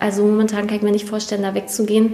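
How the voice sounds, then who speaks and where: Her fairly high voice comes through noticeable background noise. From northeastern Germany, Prignitz/Mecklenburg area. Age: 20s. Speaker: nurse. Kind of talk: interview. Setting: studio.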